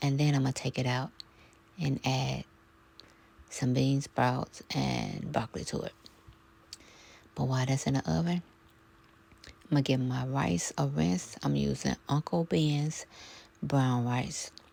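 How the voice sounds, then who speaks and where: Soft-spoken and fairly slow, a woman with a very deep, low pitch and a dark, mellow tone uses lively intonation, broken by long, frequent pauses. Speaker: home cook vlogger. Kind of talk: casual talk to camera, cooking vlog narration. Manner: soft-spoken, chatty, rambling.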